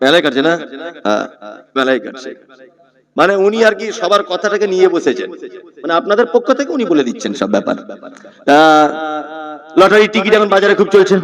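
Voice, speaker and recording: A man speaks with a high-pitched voice. His intonation is lively. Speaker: Islamic preacher giving a waz sermon. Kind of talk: Islamic sermon (waz) to a live audience. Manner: rhetorical, questioning the audience, lively.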